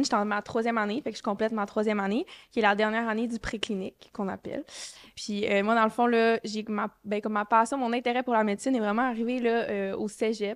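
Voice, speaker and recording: Speaking with a Quebec accent, a woman talks at a fairly quick pace over a quiet background. Her fairly high voice stays monotone and flat. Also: dry, close sound with no echo. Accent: Quebec French, Saguenay. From Quebec, Saguenay-Lac-Saint-Jean. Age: 20s. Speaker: medical student. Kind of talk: podcast interview. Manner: hesitant, many fillers.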